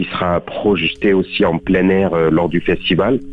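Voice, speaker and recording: A man with a very deep, low voice and ordinary pitch variation talks at a fairly slow pace. Noticeable background noise runs throughout. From southern France, Beaucaire. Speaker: actor. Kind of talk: radio interview. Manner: halting, many fillers.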